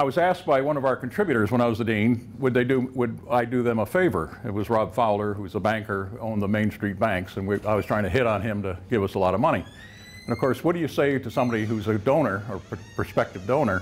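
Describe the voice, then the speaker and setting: A man at a very fast pace, with ordinary pitch variation over light background noise. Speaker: professor giving a faculty lecture. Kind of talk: lecture. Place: classroom.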